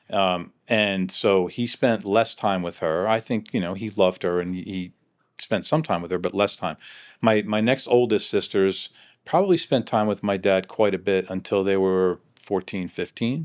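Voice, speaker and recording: This man has a normal speaking voice, pitched fairly low. He talks at a moderate pace with ordinary pitch variation. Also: very clean recording, silent background. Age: 60s. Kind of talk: interview answer.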